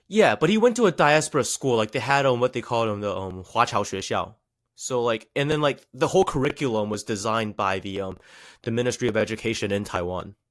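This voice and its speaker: A man with a slight Chinese accent talks very fast at medium pitch, with ordinary pitch variation. The recording is very clean with a silent background. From USA. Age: 20s. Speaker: rapper. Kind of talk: podcast interview.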